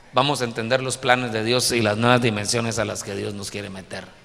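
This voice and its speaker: Recorded with noticeable background noise and audible room echo, a man talks at a medium pitch. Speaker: pastor. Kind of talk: sermon.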